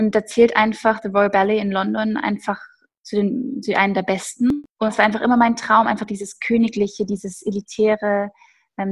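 Somewhat breathy woman's voice at medium pitch, moderate pace and monotone, flat intonation. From Upper Bavaria, Germany. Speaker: professional ballet dancer. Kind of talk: casual interview.

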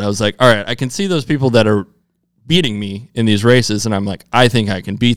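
A man with an American accent speaks at a fairly quick pace in an ordinary speaking voice, his medium pitch showing ordinary variation. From US Midwest. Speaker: professional off-road motorcycle racer. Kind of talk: casual interview chat. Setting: studio.

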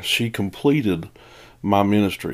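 Speaking with an East Tennessee accent, a man uses a fairly low pitch. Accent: Southern US (East Tennessee). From East Tennessee, outskirts of Knoxville. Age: 40s. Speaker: pastor and podcast host. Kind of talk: personal testimony. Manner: casual, folksy.

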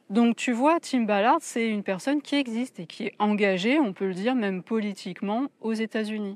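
A woman with a normal speaking voice and a fairly high pitch talks with hardly any pauses, the sound dry and close with no echo. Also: ordinary pitch variation, moderate pace. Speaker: wellness podcaster and YouTuber. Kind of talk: solo video commentary. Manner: casual, direct address.

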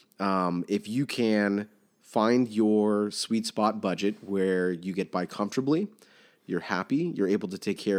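Against a quiet background, a man with a fairly low pitch speaks in a normal speaking voice. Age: 30s. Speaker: bank recruiter, guest co-host. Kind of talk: casual chat.

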